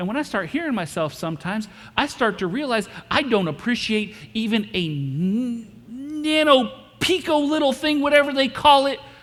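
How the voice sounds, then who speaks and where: The tone is animated and the pace moderate. Noticeable background noise can be heard. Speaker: pastor. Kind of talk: sermon. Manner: loud.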